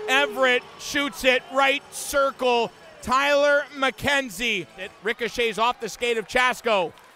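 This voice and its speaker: A man's raised, projected voice at an extremely high pitch, very slow pace and ordinary pitch variation, with noticeable background noise. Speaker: hockey play-by-play announcer. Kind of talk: hockey play-by-play commentary over game highlights. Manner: excited, rising emphasis on goals.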